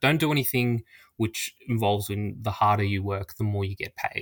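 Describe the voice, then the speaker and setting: A man's fairly low voice at a fairly quick pace, in a very clean recording with a silent background. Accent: Australian. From Australia. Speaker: social media personality. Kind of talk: podcast interview.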